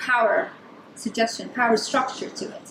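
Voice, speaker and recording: A woman speaks loudly, with audible echo from the room. Noticeable background noise runs under her voice. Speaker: design researcher. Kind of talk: conference talk.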